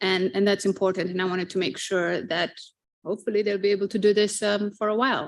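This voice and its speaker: A woman speaks in a Fijian accent at a fairly quick pace. The recording is very clean, with a silent background. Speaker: marine conservation professional. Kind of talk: panel discussion.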